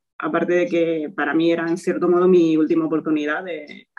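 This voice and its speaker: A woman's normal speaking voice, fairly low in pitch, at a fairly quick pace. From Spain, Toledo. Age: 20s. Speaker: physiotherapist. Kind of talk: interview.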